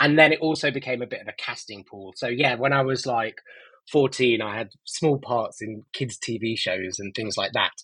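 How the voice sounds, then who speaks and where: A man's medium-pitched, bright, sharp voice in an East Midlands accent, with big swings in loudness. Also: ordinary pitch variation, moderate pace. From Nottingham, England. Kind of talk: interview. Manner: halting with many fillers.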